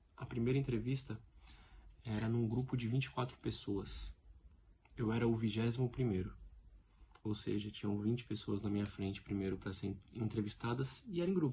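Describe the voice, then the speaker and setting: With long, frequent pauses, a man talks in a somewhat breathy, medium-pitched voice. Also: ordinary pitch variation. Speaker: stuttering advocate vlogger. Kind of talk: personal testimony vlog. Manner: repetitions and blocks.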